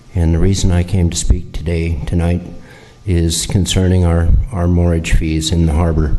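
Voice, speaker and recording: At a moderate pace, a man with a very deep, low pitch speaks in a monotone, flat intonation amid noticeable background noise and audible room echo. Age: 60s. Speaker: sailor, public commenter. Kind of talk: public comment at council meeting.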